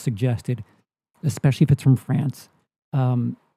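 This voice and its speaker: This man's voice has a dark, mellow tone and is somewhat breathy. The sound is dry and close with no echo. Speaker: movie commentary streamer. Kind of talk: live stream reaction commentary. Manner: stammer; halting, many repeats and fillers.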